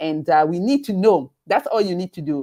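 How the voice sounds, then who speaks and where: A woman with a Kenyan accent, fairly low in pitch, dark and mellow in tone, lively in intonation, at a moderate pace, in a dry, close sound with no echo. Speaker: webinar host, event organizer. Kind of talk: live webinar promotion chat. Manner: halting, many fillers and repetitions.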